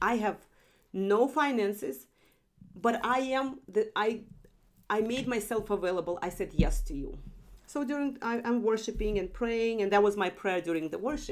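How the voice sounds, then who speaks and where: In a non-native accent, a woman with a fairly high pitch talks at a moderate pace with lively intonation. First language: not English. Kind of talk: testimony. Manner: halting, self-correcting.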